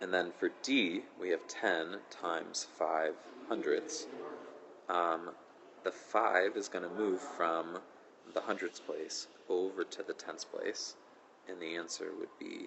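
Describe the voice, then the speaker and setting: A soft-spoken man talks at a very slow pace, with long, frequent pauses. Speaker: math teacher. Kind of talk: tutorial. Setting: school auditorium during lunch detention.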